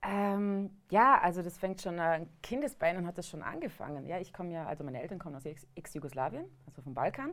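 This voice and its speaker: Using a plain, everyday voice, a woman talks fairly quickly and fairly low, with lively intonation, big swings in loudness and hardly any pauses. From Vorarlberg, western Austria. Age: 30s. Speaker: hunter and cooking show presenter. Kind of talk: casual chat. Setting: studio.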